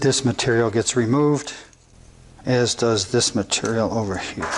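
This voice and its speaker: Noticeable background noise runs through the clip. The male speaker's pitch is medium. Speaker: carpenter. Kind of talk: tutorial. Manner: casual, thinking aloud.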